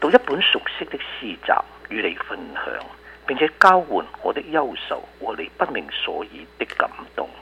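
Noticeable background noise sits behind this recording. A man speaks fairly slowly, his loudness swinging a lot. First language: Cantonese (speaking Chinese). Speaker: professor and poet. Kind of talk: reading aloud; interview.

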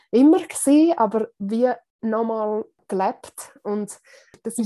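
A woman talks at a fairly slow pace with a fairly high pitch. Her pitch varies in an ordinary way over a quiet background. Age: 30s. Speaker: secondary school teacher. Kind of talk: interview, personal story of burnout. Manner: hesitant, with many fillers.

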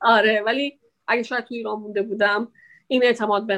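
A woman's fairly high voice, an ordinary speaking voice, with fairly even intonation on a very clean recording against a silent background. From Iran. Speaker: immigrant interviewee. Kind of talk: interview.

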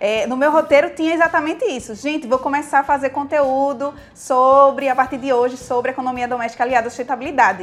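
In a Brazilian accent, a woman with a high pitch talks at a fairly quick pace. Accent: regional Brazilian. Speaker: sustainability content creator. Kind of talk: casual interview. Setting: studio.

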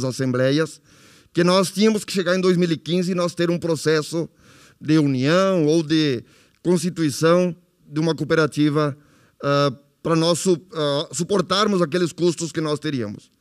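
Recorded very cleanly against a silent background, a man with a plain, everyday voice speaks at a fairly slow pace and a fairly high pitch, with ordinary pitch variation. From Nova Palma, Rio Grande do Sul, Brazil. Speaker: former cooperative president. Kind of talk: testimony.

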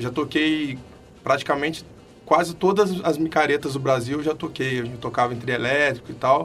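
Moderate pace and ordinary pitch variation from a man with a fairly high pitch. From Belo Horizonte, Brazil. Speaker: carnival block musician. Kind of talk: casual chat. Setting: studio.

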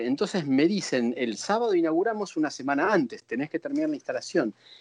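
A man talks fairly quickly, his pitch swinging very widely, against a quiet background. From Buenos Aires, Argentina. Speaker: visual artist. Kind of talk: interview.

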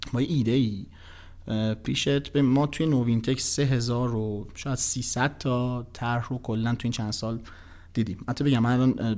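A man talks at a moderate pace with fairly even intonation and a medium pitch. He has a plain, everyday voice. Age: 30s. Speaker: investment company executive. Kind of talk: casual interview chat.

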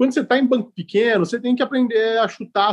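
A man with a high pitch talks with fairly even intonation. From Ribeirão Preto, interior of São Paulo state, Brazil. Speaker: fund manager, economist. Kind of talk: casual interview.

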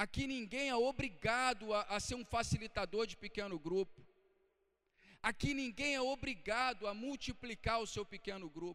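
This raised, projected voice has a bright, sharp tone, ordinary pitch variation, and a moderate pace. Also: man, high pitch for a man. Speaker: pastor. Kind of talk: sermon. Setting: church. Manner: earnest, exhortative preaching; rhetorical questions, checking in with the congregation.

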